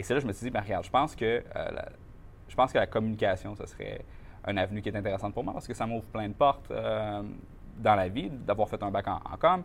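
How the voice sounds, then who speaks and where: A man's very fast speech broken by long, frequent pauses. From Quebec, Mauricie (Shawinigan area). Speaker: marketing entrepreneur. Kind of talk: interview. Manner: animated.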